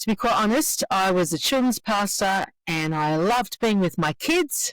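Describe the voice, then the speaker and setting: The recording is dry and close with no echo, as a woman with an Australian accent speaks at a fairly slow pace with lively intonation. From Australia, Sydney. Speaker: children's pastor and researcher. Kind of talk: podcast interview.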